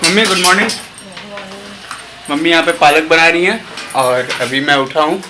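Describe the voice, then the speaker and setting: Through noticeable background noise, a high-pitched man talks with ordinary pitch variation. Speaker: vlogger. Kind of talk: casual vlog talk. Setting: at home.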